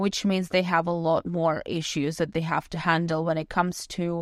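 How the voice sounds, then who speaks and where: Speaking at a moderate pace in a non-native accent, a woman with a fairly low voice is heard against a quiet background. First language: not English. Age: 20s. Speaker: podcast host. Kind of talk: personal storytelling monologue.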